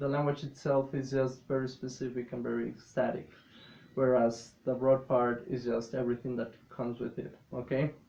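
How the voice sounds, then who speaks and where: A man speaks with a non-native accent at a medium pitch. His intonation is monotone and flat. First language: not English. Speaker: English teacher. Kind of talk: classroom lesson.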